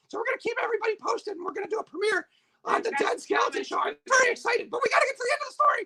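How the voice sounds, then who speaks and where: Someone uses a put-on character voice that is squeaky and extremely high in pitch. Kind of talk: playful livestream storytelling. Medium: game stream. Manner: rambling, jokey, easily distracted.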